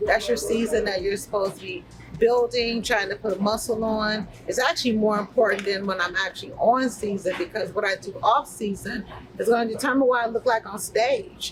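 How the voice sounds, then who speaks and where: A woman's fairly high, animated voice at a fairly quick pace amid noticeable background noise. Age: 50s. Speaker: bodybuilder and fitness coach. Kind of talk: casual vlog talk. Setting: inside a grocery store.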